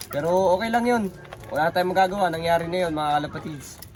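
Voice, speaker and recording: The speech goes at a very fast pace. Noticeable background noise runs underneath. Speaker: pigeon racing vlogger. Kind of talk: casual vlog. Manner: halting.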